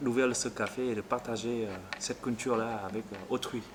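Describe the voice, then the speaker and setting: Noticeable background noise surrounds a man who talks at a moderate pace in a medium pitch. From Vietnam. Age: 30s. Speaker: café owner. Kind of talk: interview. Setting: in a café. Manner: hesitant.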